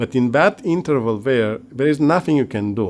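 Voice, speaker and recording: With ordinary pitch variation, the man holds a medium pitch. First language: not English (English is third language). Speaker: via ferrata climber and tutorial creator. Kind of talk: tutorial. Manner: halting, with frequent restarts and repetitions.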